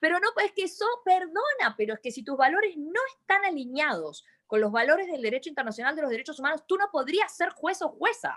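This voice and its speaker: With an Argentine accent, a woman talks at a fairly quick pace with hardly any pauses, her extremely high pitch swinging very widely. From Argentina. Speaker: lawyer and university lecturer. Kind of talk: webinar discussion.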